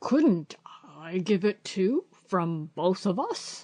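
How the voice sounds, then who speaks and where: Using a raspy, put-on character voice at a middle pitch, the speaker goes very slowly. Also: female-sounding voice. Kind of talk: bedtime story. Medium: read story. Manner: pompous, grand-sounding.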